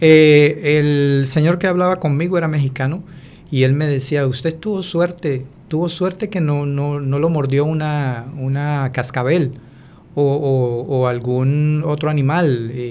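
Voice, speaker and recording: Audible room echo surrounds a man speaking fairly slowly at a fairly high pitch, with fairly even intonation. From Colombia, Buenaventura. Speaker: former migrant. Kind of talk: interview testimony. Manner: halting, many fillers.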